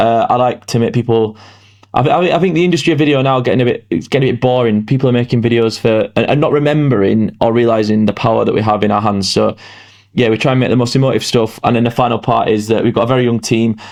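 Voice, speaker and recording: Speaking at a very fast pace, a man keeps a very even loudness, using a medium pitch with ordinary pitch variation. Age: 20s. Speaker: entrepreneur. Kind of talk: podcast interview. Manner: halting.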